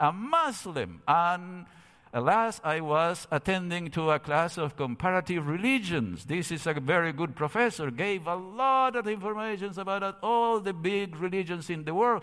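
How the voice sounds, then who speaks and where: With a Spanish accent, a man speaks at a moderate pace with hardly any pauses, his high, bright, sharp voice full of lively intonation, in a very clean recording with a silent background. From Argentina, Cordoba. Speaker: theology professor. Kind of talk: seminar lecture. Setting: church sanctuary, streamed.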